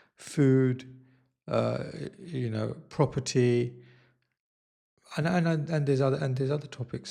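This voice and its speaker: Pausing long and often, a man speaks at a medium pitch in a dark, mellow, somewhat breathy tone with fairly even intonation. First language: not Italian; learning Italian. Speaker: YouTuber / vlogger. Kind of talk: casual vlog monologue. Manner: slow; hesitant, many fillers.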